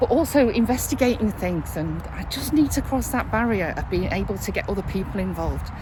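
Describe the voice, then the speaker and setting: A woman talks with hardly any pauses. Noticeable background noise and audible room echo are present. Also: fairly quick pace. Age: 60s. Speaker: vlogger. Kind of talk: casual vlog monologue. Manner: chatty, with fillers.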